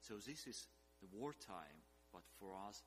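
Music plays in the background. A man with a very deep, low pitch talks at a fairly slow pace. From eastern Ukraine. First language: Russian or Ukrainian. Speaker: missionary leader and scholar. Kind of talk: sermon.

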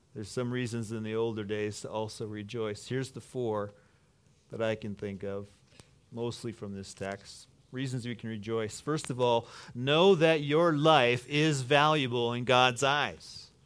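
On a very clean recording with a silent background, a man with a normal speaking voice talks at a fairly slow pace and medium pitch, with ordinary pitch variation and big swings in loudness. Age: 50s. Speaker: pastor. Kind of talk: sermon.

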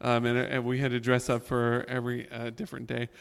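The speaker has an unremarkable speaking voice, with an American accent. The pace is fairly quick. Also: man. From Florida. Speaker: music and drama teacher. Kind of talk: panel discussion at church service.

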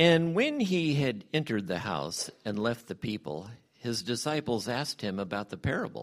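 His pitch leaps up and down very widely. The man keeps a moderate pace. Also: medium pitch for a man. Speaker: church member leading prayer and scripture reading. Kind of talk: prayer and scripture reading. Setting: church.

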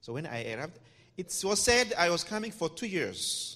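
A man's voice with vocal fry, very wide pitch swings, and a moderate pace. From Democratic Republic of the Congo. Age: young. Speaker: missionary doctor. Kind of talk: interview. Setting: church. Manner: halting.

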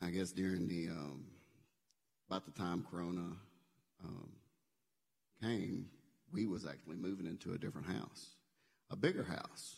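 Long, frequent pauses break up speech in a Southern US accent with ordinary pitch variation. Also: man, very deep, low pitch for a man, moderate pace. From Memphis area, Tennessee. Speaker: church member. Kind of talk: testimony.

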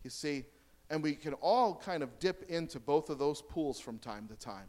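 Recorded very cleanly against a silent background, a man with an American accent and an unremarkable speaking voice talks at a moderate pace, fairly high in pitch, with ordinary pitch variation. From United States. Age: 30s. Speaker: guest preacher. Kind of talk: sermon. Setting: church.

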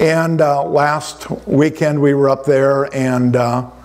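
This man's fairly high voice keeps a fairly even intonation while noticeable background noise runs beneath it. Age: 70s. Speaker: pastor. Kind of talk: sermon. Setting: church.

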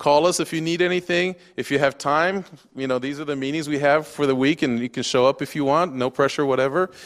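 A man speaks in an ordinary speaking voice with an American accent, his pitch fairly high. His intonation stays fairly even at a fairly quick pace. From Japan. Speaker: missionary pastor. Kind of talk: sermon. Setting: church.

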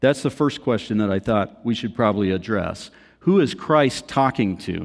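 A man talks at a moderate pace and medium pitch with ordinary pitch variation, in an unremarkable speaking voice against a quiet background. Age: 30s. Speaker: attorney, church elder giving sermon. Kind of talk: sermon. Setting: church. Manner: humorous, casual.

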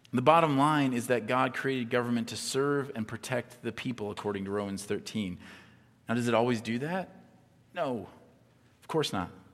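Moving at a fairly quick pace, a man with a plain, everyday voice speaks at a medium pitch. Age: 40s. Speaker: pastor. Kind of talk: sermon. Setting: church with live audience. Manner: conversational, frequent fillers and repetitions.

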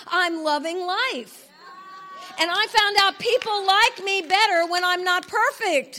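Raised and projected, a woman's voice comes through at an extremely high pitch, bright and sharp, with an animated tone, ordinary pitch variation and a fairly slow pace. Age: 60s. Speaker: conference speaker / preacher. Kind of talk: sermon.

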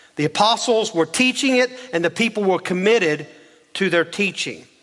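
A man's speech, delivered at a moderate pace with ordinary pitch variation, comes through noticeable background noise. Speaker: pastor. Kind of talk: sermon. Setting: church.

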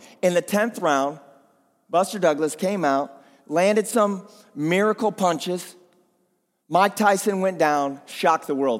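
A man talks in an animated tone at a high pitch, with lively intonation and very even loudness. His pace is fairly slow, with long, frequent pauses. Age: 40s. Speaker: pastor. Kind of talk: sermon. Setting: church.

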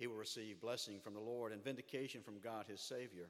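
A medium-pitched man with a Southern US accent at a moderate pace. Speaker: pastor. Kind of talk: sermon. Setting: church.

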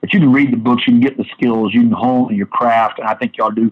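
In an American accent, a man talks very fast at a medium pitch with fairly even intonation. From US Midwest (southern Illinois). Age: 50s. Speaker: pastor and church official. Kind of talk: interview.

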